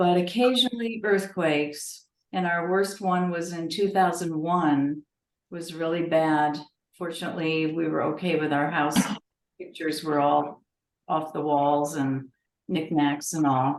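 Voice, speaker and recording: A woman's normal speaking voice with an American accent, fairly low in pitch and at a fairly slow pace. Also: ordinary pitch variation. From Connecticut. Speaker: genealogy society member. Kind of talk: casual chat.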